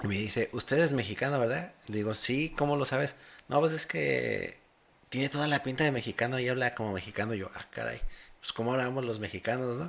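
Speaking at a fairly quick pace, a man with a medium pitch and vocal fry shows ordinary pitch variation. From Mexico. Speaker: podcast host. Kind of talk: casual interview.

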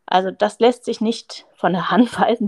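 A dry, close recording with no echo captures a woman at a medium pitch, with vocal fry, talking at a moderate pace. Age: 30s. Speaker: surgeon. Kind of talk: interview.

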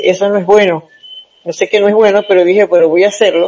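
A woman's medium-pitched voice comes through noticeable background noise. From Venezuela, Zulia state (Maracaibo). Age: 70s. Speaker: senior marathon runner. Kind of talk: interview.

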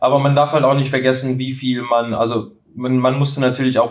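Monotone and flat in intonation, a man talks at medium pitch and a fairly quick pace. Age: 30s. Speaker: pizza baking content creator. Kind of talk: casual chat. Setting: studio couch, recording together. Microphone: poor sound quality in first episode.

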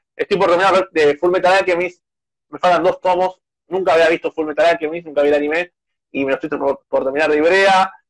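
Heard in a dry, close sound with no echo, a man speaks at a high pitch. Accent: Rioplatense. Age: 20s. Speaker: youtuber and journalist. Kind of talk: casual interview.

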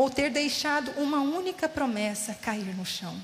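A woman speaking at a fairly slow pace, with audible room echo and noticeable background noise. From São Paulo state interior. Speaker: guest preacher. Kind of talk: sermon. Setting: church.

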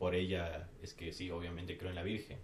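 A man delivers his words at a moderate speed, and audible room echo hangs around his voice. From Ecuador. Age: 30s. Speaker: hardcore band vocalist. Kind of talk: casual chat.

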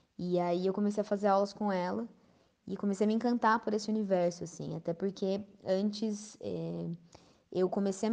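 Over a quiet background, a woman speaks at a medium pitch with a dark, mellow tone and a monotone, flat intonation. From Brazil, São Paulo state interior (Campinas/Valinhos). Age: 20s. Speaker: pianist and music teacher. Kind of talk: interview.

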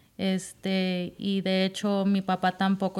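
The woman's voice sits at a medium pitch. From Southern California. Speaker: escaramuza rider. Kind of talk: casual interview chat.

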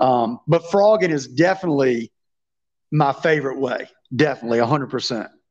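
With a Southern US accent, a man speaks at a fairly high pitch with ordinary pitch variation. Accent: Southern US, noticeable country drawl. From Virginia. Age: 30s. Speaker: fishing YouTuber and tournament angler. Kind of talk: casual interview chat.

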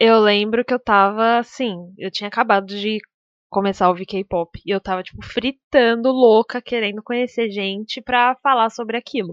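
In an ordinary speaking voice, a woman talks at a moderate pace with fairly high pitch, fairly even intonation and big swings in loudness. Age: 20s. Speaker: podcast co-host, streamer. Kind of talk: casual chat.

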